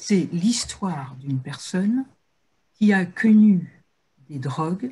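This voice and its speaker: Somewhat breathy and dark, mellow in tone, a woman's voice moves through very wide pitch swings. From northern France. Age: 50s. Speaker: recovered addict giving prevention talks. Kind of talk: testimony talk in a webinar. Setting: video call webinar.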